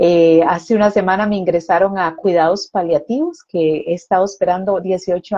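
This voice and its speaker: With an ordinary speaking voice, a woman at a medium pitch talks at a moderate pace, with fairly even intonation and hardly any pauses. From Costa Rica. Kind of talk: testimony.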